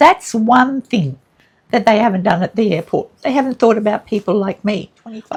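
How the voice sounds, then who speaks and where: Somewhat breathy speech at a moderate pace, with an Australian accent. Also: woman. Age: 70s. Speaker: relationship and grief counsellor, vlogger. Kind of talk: casual monologue. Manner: animated.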